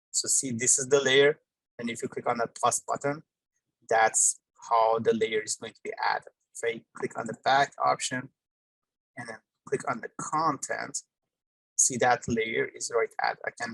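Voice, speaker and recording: A man talks at a moderate pace, his loudness swinging widely. The sound is dry and close, with no echo. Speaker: workshop instructor. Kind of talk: tutorial.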